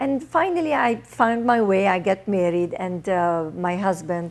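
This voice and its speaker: A woman's lively intonation at a fairly slow pace, in a very clean recording with a silent background. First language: not English. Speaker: author and TV producer. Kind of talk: interview. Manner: halting.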